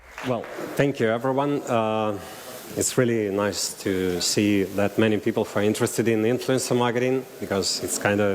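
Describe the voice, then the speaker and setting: Noticeable background noise behind speech with fairly even intonation. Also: man. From Russian-speaking region. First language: Russian. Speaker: marketing agency director. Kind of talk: conference talk. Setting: stage with audience. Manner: halting.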